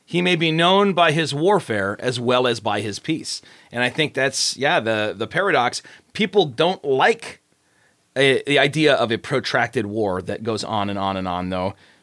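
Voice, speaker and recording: This man's medium-pitched voice swings very widely in pitch as he talks at a moderate pace. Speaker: pastor and author. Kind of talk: casual chat about his own fiction.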